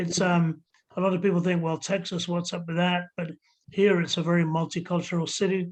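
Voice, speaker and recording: Against a quiet background, a man with a high pitch and an English accent speaks in a flat monotone at a moderate pace. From England, army childhood abroad. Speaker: ska musician. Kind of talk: casual chat.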